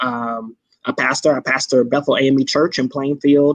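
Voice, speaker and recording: A man with a Mississippi accent, medium pitch, monotone and flat intonation, and a fairly slow pace. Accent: Mississippi (Southern). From Indianapolis, Indiana and rural Mississippi. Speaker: pastor. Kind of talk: live-streamed conversation.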